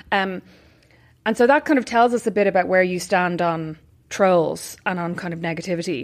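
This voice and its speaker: A woman speaks in an Irish accent at a moderate pace and a medium pitch, with ordinary pitch variation. The recording is very clean, with a silent background. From Ireland. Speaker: podcast host. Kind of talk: casual interview. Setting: in-person recording.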